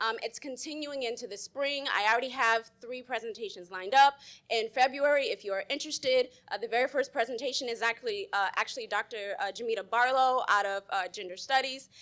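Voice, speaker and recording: A woman speaks loudly at a high pitch. She talks at a fairly quick pace with ordinary pitch variation. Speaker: professor. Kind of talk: panel presentation. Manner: fast.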